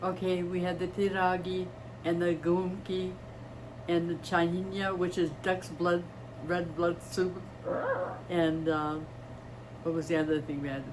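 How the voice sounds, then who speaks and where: In a Midwestern American accent, a woman speaks fairly slowly with a fairly low pitch and monotone, flat intonation, leaving long, frequent pauses, while noticeable background noise and audible room echo come through. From US Midwest, East Chicago, Indiana. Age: 80s+. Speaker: retired nurse. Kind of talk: interview.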